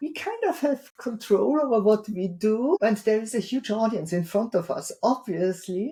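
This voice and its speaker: A somewhat breathy woman's voice, fairly high in pitch, with a dark, mellow tone, lively intonation and a strong non-native accent. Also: moderate pace, hardly any pauses. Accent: heavy foreign. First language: not English. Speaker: keynote speaker and author. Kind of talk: interview podcast.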